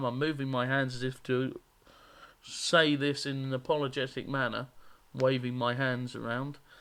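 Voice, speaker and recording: With a strong Norfolk accent, a man talks at a moderate pace in a monotone, flat intonation at a medium pitch. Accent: strong Norfolk country. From England, Norfolk. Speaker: gaming YouTuber. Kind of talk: let's play commentary. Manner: casual, hesitant with fillers.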